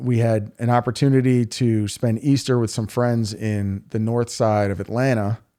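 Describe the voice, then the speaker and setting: A man's dark, mellow voice at medium pitch, in a New York accent, with fairly even intonation at a moderate pace. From New York City (Queens). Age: 40s. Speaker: local political candidate. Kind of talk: podcast interview.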